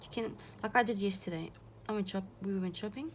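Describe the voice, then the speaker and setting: A woman's somewhat breathy voice at medium pitch, with ordinary pitch variation and a moderate pace. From South Africa. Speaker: art journaling vlogger. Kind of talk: casual vlog chat. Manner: halting, many restarts.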